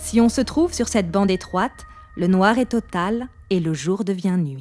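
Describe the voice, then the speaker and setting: Music plays in the background as a woman talks at a moderate pace. Her medium-pitched voice has lively intonation. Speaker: voice actor. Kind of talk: documentary narration.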